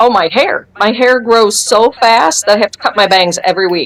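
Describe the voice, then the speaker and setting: Over noticeable background noise, the words come at a fairly quick pace. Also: woman. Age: 50s. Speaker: retired firefighter giving product testimony. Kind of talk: testimony interview.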